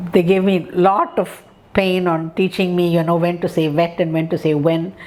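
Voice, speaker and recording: Amid noticeable background noise, a woman speaks in a fairly low pitch with monotone, flat intonation. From India. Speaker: professor of speech and hearing sciences. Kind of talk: interview storytelling. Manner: many fillers and hesitations.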